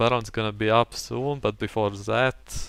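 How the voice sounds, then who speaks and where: A man with a non-native accent, fairly low in pitch, monotone and flat in intonation at a moderate pace, in a very clean recording with a silent background. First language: not English. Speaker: gaming commentator. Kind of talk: gameplay commentary.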